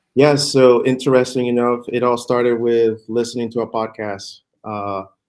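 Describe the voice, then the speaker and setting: A man speaks at a moderate pace and a medium pitch in a monotone, flat intonation. The recording is very clean, with a silent background. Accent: Spanish. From Puerto Rico. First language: Spanish. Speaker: real estate fund manager. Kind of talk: interview. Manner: halting, many fillers.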